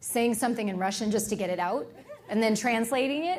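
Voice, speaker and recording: A woman with an animated tone at a fairly quick pace, amid noticeable background noise and audible room echo. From Sri Lanka. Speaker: motivational speaker. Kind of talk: talk with audience Q&A. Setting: stage with audience.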